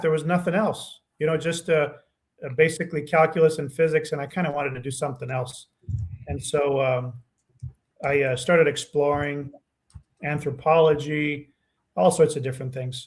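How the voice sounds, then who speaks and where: A man speaks with long, frequent pauses, a somewhat breathy sound and fairly even intonation. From Romania, emigrated to US at almost seven. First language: Romanian. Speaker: nutrition scientist. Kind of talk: podcast interview. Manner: hesitant, many fillers.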